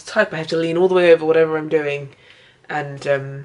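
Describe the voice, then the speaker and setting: In a British accent, a woman speaks with a very deep, low pitch. Her pace is fairly quick and her intonation fairly even. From UK. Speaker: artist vlogger. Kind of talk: casual vlog talk. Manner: hesitant, many fillers.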